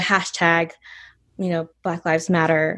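A woman speaks with an American accent. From US South, North Georgia. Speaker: baker and bakery owner. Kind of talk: casual interview.

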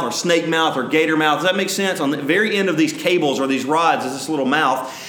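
This man has an Alabama accent and a high pitch with ordinary variation. He talks at a fairly quick pace over noticeable background noise. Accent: Southern US (Alabama). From US South, north Alabama. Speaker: pastor. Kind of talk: sermon. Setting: church. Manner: halting, many fillers.

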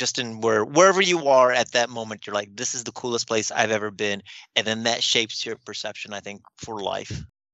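A man speaks in a normal speaking voice with an American accent. His medium pitch shows ordinary variation at a fairly quick pace. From US Midwest. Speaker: librarian. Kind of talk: casual interview.

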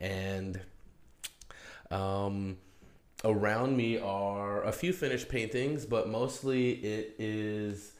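A man with an American accent and fairly even intonation, plus audible room echo. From New Mexico, US Southwest. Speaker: podcast host and painter. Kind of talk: solo podcast monologue. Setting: home studio, alone.

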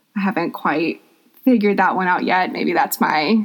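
A woman talks at a moderate pace with a medium pitch. She has a plain, everyday voice. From US South, Atlanta, Georgia. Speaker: yoga teacher. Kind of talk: interview.

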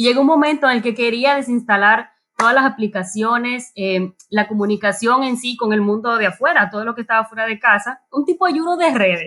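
Its pitch rises and falls a normal amount. The clip has an unremarkable speaking voice. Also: woman, fairly high pitch for a woman. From Dominican Republic. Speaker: church member. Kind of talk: casual chat. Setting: remote from home.

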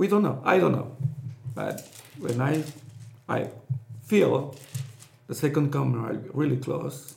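Pausing long and often, a man with a Spanish accent speaks at a fairly high pitch with ordinary pitch variation. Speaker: pastor. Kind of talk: casual chat. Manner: halting.

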